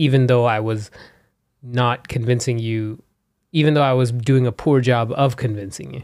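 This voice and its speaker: Here a man holds a medium pitch and fairly even intonation at a moderate pace. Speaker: podcast host interviewing his wife. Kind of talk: casual chat. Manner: calmer than before.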